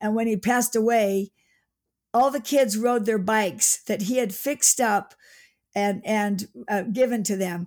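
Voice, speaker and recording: A woman's unremarkable speaking voice, fairly high in pitch, at a fairly slow pace with fairly even intonation. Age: 60s. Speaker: author. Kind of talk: interview conversation.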